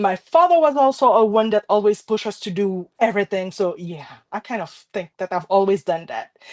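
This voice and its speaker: Lively in intonation and fairly quick, a woman speaks with a French Caribbean accent in a dry, close sound with no echo. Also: medium pitch for a woman, big swings in loudness. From Haiti, Port-au-Prince. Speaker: card maker. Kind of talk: casual chat.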